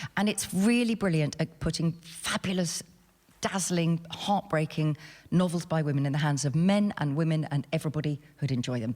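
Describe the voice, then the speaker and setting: A woman with a very deep, low pitch speaks fairly quickly in an animated, somewhat breathy way. Her pitch varies in an ordinary way. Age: 60s. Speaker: novelist. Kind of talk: panel discussion. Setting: stage with audience.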